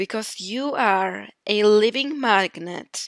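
A woman speaks very slowly in a Polish accent. The recording is very clean, with a silent background. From Poland. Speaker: podcast host. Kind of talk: motivational monologue.

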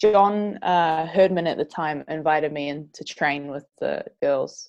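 Against a quiet background, a woman with a fairly low pitch and ordinary pitch variation speaks in a New Zealand accent. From New Zealand, Northland. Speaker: professional footballer. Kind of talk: interview.

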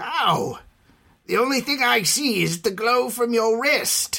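The speaker puts on a raspy character voice with a fairly high pitch. The delivery comes at a fairly slow pace. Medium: audio drama. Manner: fearful, whining.

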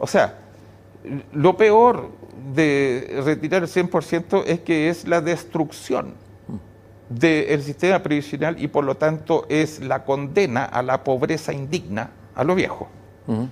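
Speaking very slowly, a man leaves long, frequent pauses. His pitch is fairly high, with ordinary variation. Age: 70s. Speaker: economist. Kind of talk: interview. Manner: halting with repeated words.

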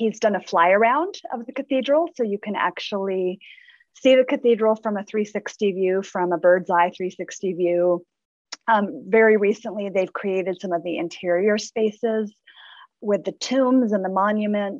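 At a fairly slow pace, a woman speaks at medium pitch with ordinary pitch variation in an ordinary speaking voice. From Southern California. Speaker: English professor and associate dean. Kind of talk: interview. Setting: video call.

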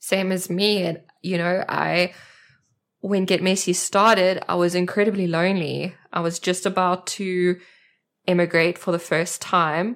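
A woman speaks at a fairly slow pace in a South African accent, her pitch medium. The recording is very clean, with a silent background. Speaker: art journaling community leader. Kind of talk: casual chat. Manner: animated.

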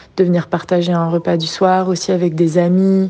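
A woman's fairly low, monotone voice with flat intonation over noticeable background noise. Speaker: regular visitor. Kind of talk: testimony.

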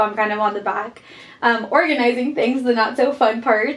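Noticeable background noise accompanies a woman speaking at a fairly high pitch with fairly even intonation. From Guatemala. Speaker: student society officer. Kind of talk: casual chat.

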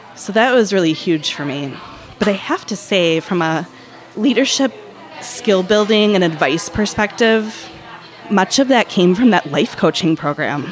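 Speaking over noticeable background noise, a woman with a medium pitch uses lively intonation at a fairly slow pace. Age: 30s. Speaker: marketing executive. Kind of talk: casual interview. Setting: bakery café.

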